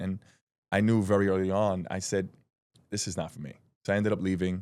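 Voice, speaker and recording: A man talks very fast with a New York accent, his voice very deep and low. The recording is very clean, with a silent background. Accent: New York (Bronx). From New York, the Bronx. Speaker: independent filmmaker, former correction officer. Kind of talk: podcast interview.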